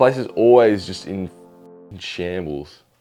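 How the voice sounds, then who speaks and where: Music plays in the background. A man speaks fairly slowly with a very deep, low pitch. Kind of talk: vlog narration.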